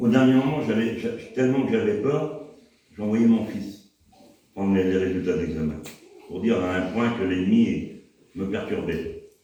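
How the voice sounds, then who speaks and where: A man talks at a fairly slow pace with ordinary pitch variation. Long, frequent pauses come often, and audible room echo surrounds him. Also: medium pitch for a man. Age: 60s. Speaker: church member. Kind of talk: testimony. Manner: halting.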